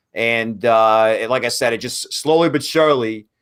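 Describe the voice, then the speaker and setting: A man speaks with a Brooklyn accent. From US Northeast, Brooklyn, New York. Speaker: hockey draft analyst. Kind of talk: casual podcast interview. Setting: live stream.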